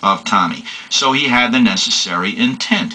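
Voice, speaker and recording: Through noticeable background noise, a man with a New York accent speaks with very wide pitch swings. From New York City. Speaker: law lecturer. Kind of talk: lecture.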